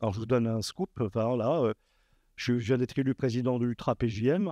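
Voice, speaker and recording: A man with a dark, mellow tone speaks at a moderate pace in a medium pitch with ordinary variation and big swings in loudness, the sound dry and close with no echo. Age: 60s. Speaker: association leader, workshop panelist. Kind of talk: panel talk at a workshop. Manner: halting, many hesitations.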